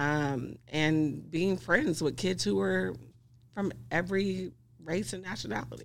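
With an American accent, a woman speaks at a fairly slow pace in a very deep, low voice marked by vocal fry and very wide pitch swings. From US South, Greenville, Mississippi. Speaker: social worker and grief counselor. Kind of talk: interview conversation.

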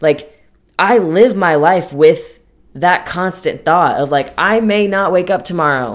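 A woman speaks in a normal speaking voice, fairly low in pitch. Her intonation is lively. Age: 20s. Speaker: podcast host. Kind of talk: personal monologue. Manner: casual, chatty.

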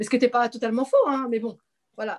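A woman at a very fast pace. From Paris region, France. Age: 40s. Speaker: naturopath, former civil servant. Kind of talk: personal testimony in interview. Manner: halting, many repetitions.

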